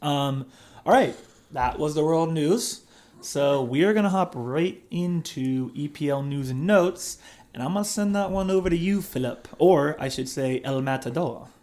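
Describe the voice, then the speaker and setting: A man's normal speaking voice with an American accent, a fairly high pitch, ordinary pitch variation, and a moderate pace. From US. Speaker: fantasy football podcast host. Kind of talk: casual chat.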